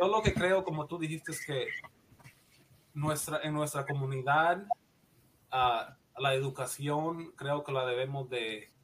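Pitch varies in an ordinary way as the somewhat breathy speech unfolds at a fairly slow pace. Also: man. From Guatemala. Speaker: nurse practitioner. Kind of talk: interview, personal story.

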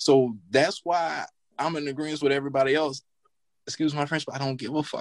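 Fairly high in pitch, a man with an American accent talks at a fairly quick pace in an ordinary speaking voice, with fairly even intonation and a dry, close sound with no echo. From US South, northern Louisiana. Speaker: banker, podcast panelist. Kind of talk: casual panel chat.

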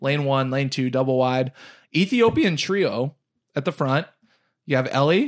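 Recorded very cleanly against a silent background, a man with a fairly high pitch talks at a fairly slow pace, with ordinary pitch variation and long, frequent pauses. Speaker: podcast co-host, running fan. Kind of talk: casual chat. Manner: high energy.

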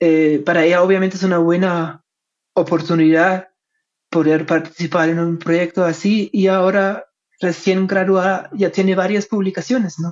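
The speaker talks at a moderate pace in a German accent. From Germany. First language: German (speaking Spanish). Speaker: history professor. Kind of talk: interview. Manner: hesitant, many fillers.

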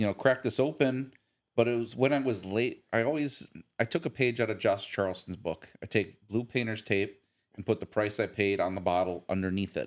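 A man with an American accent, in a normal speaking voice, talks at a fairly quick pace with ordinary pitch variation. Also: medium pitch for a man. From US South, near Nashville, Tennessee. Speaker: bourbon enthusiast. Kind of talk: casual chat.

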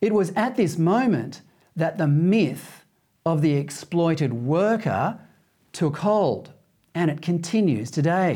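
The tone is dark and mellow, and the loudness stays very even. The pace is very slow. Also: man, high pitch for a man, lively intonation. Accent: Australian. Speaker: TV talk show host. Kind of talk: scripted opinion monologue. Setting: TV studio.

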